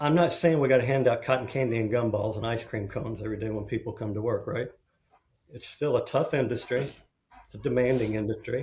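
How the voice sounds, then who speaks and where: With an American accent, a man speaks at a medium pitch, somewhat breathy, with fairly even intonation. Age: 60s. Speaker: construction executive and mental health advocate. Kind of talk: podcast interview.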